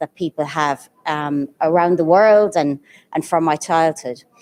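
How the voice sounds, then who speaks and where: With an Irish accent, a woman talks at a fairly low pitch and a fairly slow pace. Her tone is dark and mellow, and the sound is dry and close with no echo. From Ireland. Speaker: guest of honor, education leader and counselor. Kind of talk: event speech. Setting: live event with audience, also streamed.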